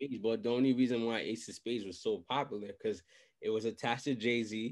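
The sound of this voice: The man's voice sits at medium pitch with a slightly mellow tone. He talks at a fairly quick pace. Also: ordinary pitch variation.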